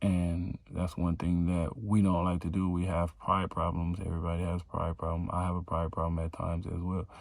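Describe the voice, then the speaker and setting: The recording is very clean with a silent background, and a man speaks in a very deep, low pitch. His intonation is monotone and flat, with hardly any pauses. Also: moderate pace. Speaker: vlogger, small clothing business owner. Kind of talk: casual vlog talk. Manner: stuttering, repeats words.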